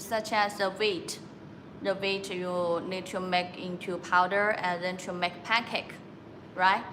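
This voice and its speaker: Against noticeable background noise and audible room echo, a woman talks at a medium pitch with a Chinese accent. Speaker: factory sales representative. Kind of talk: live-stream sales presentation. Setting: factory showroom. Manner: halting, many filler sounds.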